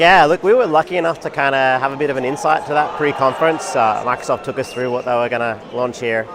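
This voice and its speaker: A man speaks very fast at a medium pitch with ordinary pitch variation. There is noticeable background noise. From Australia. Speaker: tech company executive. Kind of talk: interview. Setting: conference booth.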